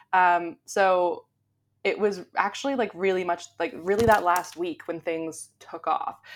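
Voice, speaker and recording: A woman with a Canadian accent speaks at a fairly slow pace in an ordinary speaking voice, her pitch medium with ordinary variation. The recording is very clean, with a silent background. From Canada. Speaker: SEO blogger. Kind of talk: interview.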